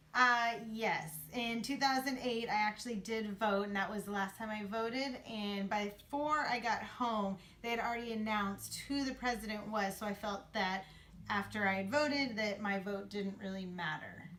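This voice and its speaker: Against noticeable background noise, a woman with a fairly high pitch talks at a moderate pace. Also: ordinary pitch variation. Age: 30s. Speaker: interviewee. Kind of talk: interview.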